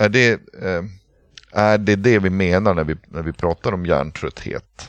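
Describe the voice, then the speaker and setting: With a quiet background and a dry, close sound with no echo, a man speaks in a very deep, low voice. He talks at a fairly slow pace with fairly even intonation. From northern Sweden, Pite River area. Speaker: podcast co-host with burnout. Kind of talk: casual chat. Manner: halting, many hesitations.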